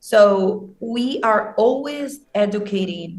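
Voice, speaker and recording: Her voice is somewhat breathy, pitched in the middle range, and her intonation stays fairly level. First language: not English. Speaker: social media team member of a crypto news channel. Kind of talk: interview conversation. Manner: hesitant, many fillers.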